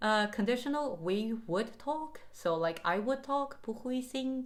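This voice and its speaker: A woman with a Mandarin accent speaks with lively intonation. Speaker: language learning vlogger. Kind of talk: casual vlog talk to camera. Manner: animated.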